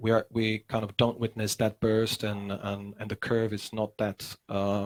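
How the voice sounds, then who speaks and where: With a Czech accent, a man speaks at a fairly slow pace in a fairly low pitch, his intonation monotone and flat. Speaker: musician and teacher. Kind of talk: casual chat. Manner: halting.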